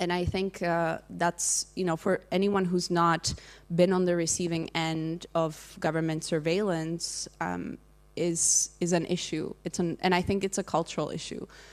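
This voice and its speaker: The recording is very clean, with a silent background. A woman speaks at a fairly slow pace in a fairly low pitch, with monotone, flat intonation. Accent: Czech. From Czech Republic. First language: Czech. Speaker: digital rights advocate. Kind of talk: panel discussion. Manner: halting, many fillers.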